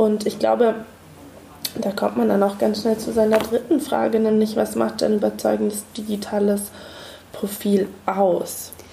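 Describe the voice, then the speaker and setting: A woman talks at a fairly slow pace with long, frequent pauses. There is noticeable background noise. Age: 30s. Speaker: museum researcher and podcast host. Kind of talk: casual chat.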